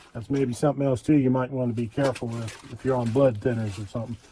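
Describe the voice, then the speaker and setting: Noticeable background noise sits beneath very fast speech. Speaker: outdoors and prepping video host. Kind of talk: gear tutorial. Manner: casual, with filler words.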